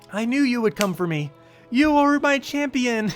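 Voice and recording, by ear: A put-on character voice sounds strained, with a fairly high pitch and a moderate pace. Clear music plays in the background.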